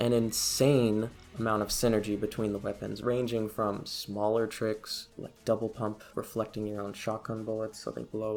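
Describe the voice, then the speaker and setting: Soft-spoken and fairly low in pitch, a man talks at a moderate pace. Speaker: gaming video essayist. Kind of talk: video essay narration.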